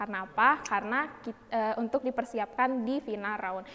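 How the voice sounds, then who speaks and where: Speaking at a fairly quick pace, a woman uses a fairly high, energetic voice with ordinary pitch variation. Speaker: student event MC. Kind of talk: event hosting. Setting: video call. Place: studio.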